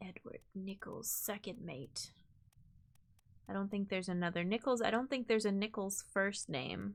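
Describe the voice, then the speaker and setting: At a moderate pace, this American-accented speaker uses an ordinary speaking voice with ordinary pitch variation. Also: woman, medium pitch for a woman. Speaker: streamer. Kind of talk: live gameplay commentary.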